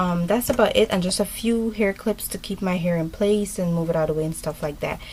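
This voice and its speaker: A woman speaks at a moderate pace with a medium pitch and fairly even intonation. Noticeable background noise can be heard. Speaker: beauty vlogger. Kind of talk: tutorial. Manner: mumbling; hesitant, many ums.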